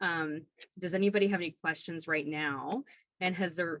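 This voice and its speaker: A woman with a fairly low pitch and ordinary pitch variation, in a dry, close sound with no echo. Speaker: doula and class instructor. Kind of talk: online class. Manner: fast.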